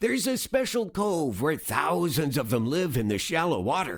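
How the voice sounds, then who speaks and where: A man's put-on character voice with very wide pitch swings. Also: fairly high pitch for a man, moderate pace. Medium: read story.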